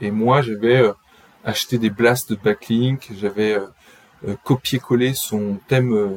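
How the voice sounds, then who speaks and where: A man speaks at a medium pitch. Noticeable background noise runs beneath him. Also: dry, close sound with no echo. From France, raised partly in Brittany. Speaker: SEO agency co-founder. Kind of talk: interview.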